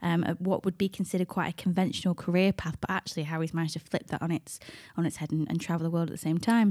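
A dark, mellow voice races at a very fast pace. The recording is very clean, with a silent background and a dry, close sound with no echo. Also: woman. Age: 30s. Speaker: podcast co-host. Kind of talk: casual chat.

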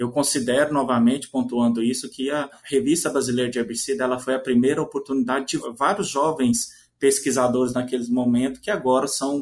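A man with an unremarkable speaking voice talks at a moderate pace and medium pitch. His pitch variation is ordinary, and the recording is very clean with a silent background. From Minas Gerais, Brazil. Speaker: agronomy professor and journal editor. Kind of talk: interview.

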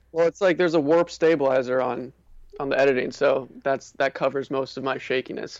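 A man's fairly high-pitched voice at a fairly quick pace. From US Northeast, Connecticut. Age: 20s. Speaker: street artist and YouTuber. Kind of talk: casual interview chat. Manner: energetic.

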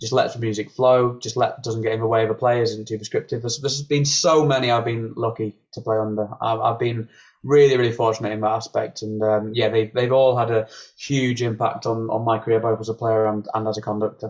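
Delivered at a fairly quick pace, the voice is monotone, with flat intonation. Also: man, medium pitch for a man. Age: 20s. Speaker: brass musician. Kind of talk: interview. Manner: halting.

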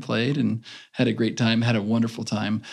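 With fairly even intonation, a man talks at a moderate pace in an ordinary speaking voice. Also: very clean recording, silent background. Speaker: former Olympic swimmer. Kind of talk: casual interview.

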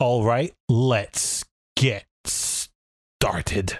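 Putting on a strained character voice, a man talks at a medium pitch with ordinary pitch variation, recorded dry and close with no echo. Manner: strained, grunting, like squeezing something out.

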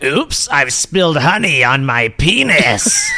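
A put-on character voice from a man, fairly high-pitched and at a fairly slow pace

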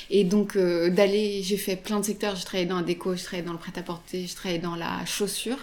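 A woman at a fairly quick pace with hardly any pauses, monotone and flat, against noticeable background noise. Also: medium pitch for a woman. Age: 30s. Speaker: retail food buyer. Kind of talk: interview. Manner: hesitant, many fillers.

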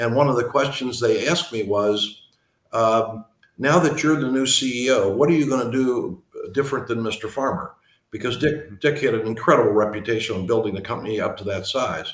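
Somewhat breathy, a man talks at a fairly quick pace and medium pitch, with ordinary pitch variation. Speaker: retired company CEO and author. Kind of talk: interview. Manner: halting.

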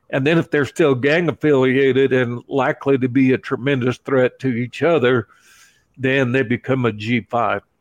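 With an unremarkable speaking voice, a man talks at a moderate pace and medium pitch, his intonation fairly even and his loudness very even, over a quiet background. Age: 60s. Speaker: evangelist and prison ministry volunteer. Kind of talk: interview testimony.

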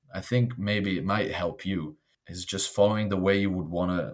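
A man with an Italian accent and a very deep, low pitch. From Italy, raised in Belgium. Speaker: expat interviewee, corporate employee. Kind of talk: casual interview. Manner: animated, laughs often.

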